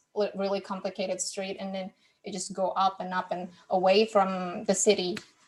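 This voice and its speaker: A woman with a non-native accent talks at a medium pitch and moderate pace. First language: not English. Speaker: podcast host, guest on book podcast. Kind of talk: casual chat. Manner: halting, with many repeated words.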